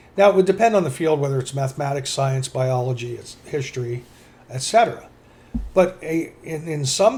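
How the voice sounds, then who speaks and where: Here is a man with a normal speaking voice and a fairly high pitch. His intonation is lively and his pace moderate. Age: 60s. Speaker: podcast co-host. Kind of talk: casual chat.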